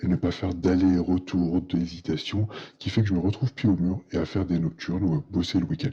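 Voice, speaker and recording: A soft-spoken man with a very deep, low, somewhat breathy voice and a dark, mellow tone, at a moderate pace with ordinary pitch variation. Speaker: accountant vlogger. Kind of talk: personal vlog monologue.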